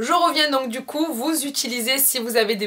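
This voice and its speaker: A woman is speaking. Her intonation is lively. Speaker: beauty vlogger. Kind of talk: makeup tutorial. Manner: halting, many filler sounds.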